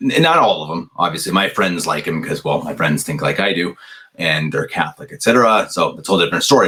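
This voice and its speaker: A man talks very fast in an American accent. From US, Colorado. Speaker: commentator. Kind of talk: casual commentary. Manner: hesitant, many fillers.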